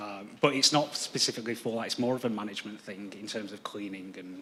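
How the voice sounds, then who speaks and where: Fairly quick, fairly low-pitched speech from a man with a British accent and fairly even intonation. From UK. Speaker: planning applicant representative. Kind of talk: council meeting Q&A. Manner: hesitant, many fillers.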